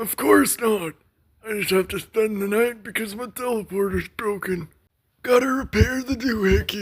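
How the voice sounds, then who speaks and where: A put-on character voice comes through here. It is fairly high-pitched and set at a moderate pace. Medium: read story.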